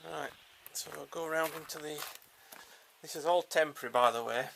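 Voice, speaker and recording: With light background noise behind him, a man speaks with an English accent. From Yorkshire, England; England. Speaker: smallholder showing his wind turbine. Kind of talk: casual video walkthrough. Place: open country. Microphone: phone near.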